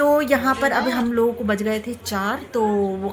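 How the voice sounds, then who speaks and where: Noticeable background noise sits behind a woman talking at a moderate pace, her fairly high pitch held in fairly even intonation. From Rampur, Uttar Pradesh, India. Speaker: travel vlogger. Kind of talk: vlog narration. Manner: casual, conversational.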